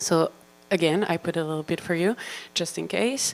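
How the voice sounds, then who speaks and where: A woman's medium-pitched voice in a Belgian accent. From Belgium. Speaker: marine biologist. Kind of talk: lecture. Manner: animated.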